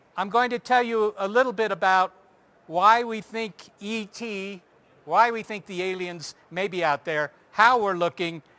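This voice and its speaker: A man with a high-pitched voice speaks in a raised, projected way, his tone bright and sharp. The sound is dry and close with no echo, against a quiet background. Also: ordinary pitch variation, fairly slow pace. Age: 50s. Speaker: astronomer giving a public talk. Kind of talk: public lecture.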